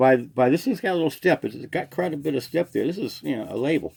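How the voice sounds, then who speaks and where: Lively in intonation, a man with a fairly high pitch talks at a very fast pace. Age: 60s. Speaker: small online seller. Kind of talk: casual talk to camera.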